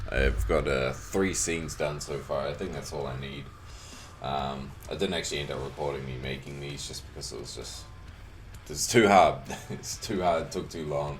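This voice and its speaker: A man talks at a moderate pace in a relaxed tone, his very deep, low pitch showing ordinary pitch variation and big swings in loudness. Music plays in the background and there is audible room echo. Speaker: video editor and 3D hobbyist. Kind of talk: casual tutorial commentary. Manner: casual, relaxed.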